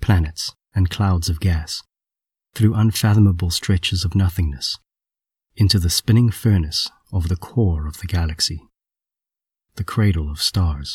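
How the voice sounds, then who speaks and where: A man's fairly low, somewhat breathy voice with a gentle tone and ordinary pitch variation, dry and close with no echo, on a very clean recording with a silent background. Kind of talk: guided meditation. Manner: gentle, imaginative, hushed storytelling.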